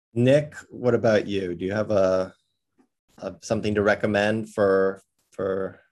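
An ordinary speaking voice from a man, fairly low in pitch, at a fairly slow pace with fairly even intonation. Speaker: podcast host. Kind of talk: casual chat.

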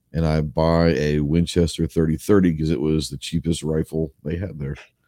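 The speaker has an American accent and a dark, mellow tone. The pace is moderate. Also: man. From Texas, Dallas suburbs. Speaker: YouTuber and Marine veteran. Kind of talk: casual chat.

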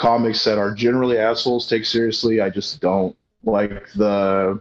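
With an American accent, a man speaks at medium pitch and a moderate pace against a quiet background. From Colorado, US. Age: 30s. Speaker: comedian and pro wrestler. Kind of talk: casual chat.

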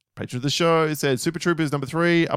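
Over a very clean recording with a silent background, a man with an Australian accent talks at a fairly quick pace. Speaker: podcast co-host. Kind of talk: casual chat.

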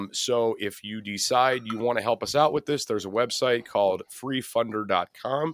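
A man with a plain, everyday voice talks at a moderate pace with hardly any pauses, at a medium pitch with ordinary pitch variation. The sound is dry and close, with no echo. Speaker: podcast host.

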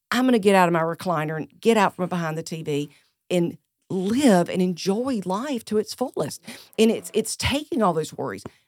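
A woman with a Southern US accent speaks at medium pitch and a moderate pace, her intonation lively. The sound is dry and close with no echo, a very clean recording over a silent background. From US South (South Carolina). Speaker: senior living facility director. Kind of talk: casual interview.

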